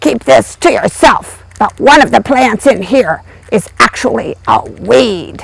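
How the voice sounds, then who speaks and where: A cartoonish character voice, fairly high in pitch, moves along at a fairly slow pace. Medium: puppet. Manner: playful, wisecracking.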